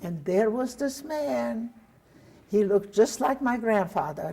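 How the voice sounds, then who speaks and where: With a Hungarian accent, a woman talks fairly slowly at a fairly high pitch, her voice swinging very widely and showing vocal fry. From Hungary. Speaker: Holocaust survivor. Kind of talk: testimony interview.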